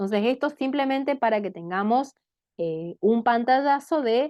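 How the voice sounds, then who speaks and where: Here is a woman with a plain, everyday voice and a fairly high pitch. She talks at a moderate pace with lively intonation. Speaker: teacher. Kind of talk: lecture.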